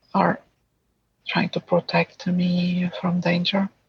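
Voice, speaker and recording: A woman with a medium pitch sounds somewhat breathy in a dry, close recording with no echo. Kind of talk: IFS therapy session client answer. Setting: early morning at home, child sleeping nearby. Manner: whispered, quiet.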